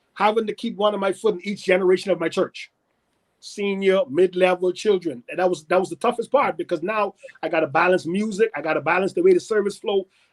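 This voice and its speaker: A man speaks very fast in a Bahamian accent, his pitch high with ordinary variation. The sound is dry and close, with no echo. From Bahamas. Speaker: pastor. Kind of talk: interview conversation.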